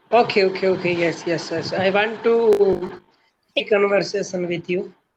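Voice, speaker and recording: With an Indian accent, a woman talks at a moderate pace in a medium pitch with fairly even intonation. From India, Rajasthan. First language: Hindi. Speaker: English learner, teacher. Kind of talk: language practice conversation. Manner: halting.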